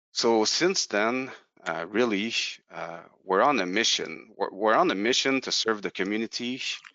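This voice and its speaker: A strong French Canadian accent at a moderate pace, with lively intonation. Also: man, medium pitch for a man. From Quebec, Canada. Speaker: company representative presenting a product. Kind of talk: webinar presentation. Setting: online webinar. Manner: halting, many fillers and repetitions.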